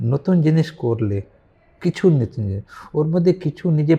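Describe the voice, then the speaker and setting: In a dry, close sound with no echo, a man speaks at a fairly high pitch with a dark, mellow tone and very wide pitch swings. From Varanasi, northern India. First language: Hindi (speaking Bengali). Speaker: philosopher and businessman. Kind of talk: interview. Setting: online live talk.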